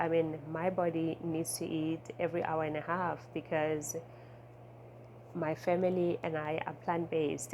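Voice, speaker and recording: Speaking with a non-native accent, a woman talks at a fairly slow pace in a fairly low pitch, with vocal fry and fairly even intonation. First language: not English. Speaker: intuitive eating coach. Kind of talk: casual vlog talk. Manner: conversational, many filler words.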